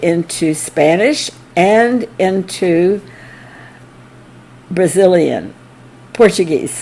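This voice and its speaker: Noticeable background noise fills the recording. Through it, a woman's medium-pitched voice moves with ordinary pitch variation. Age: 80s+. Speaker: early disciple of a spiritual teacher. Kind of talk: anniversary talk, reminiscence. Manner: halting.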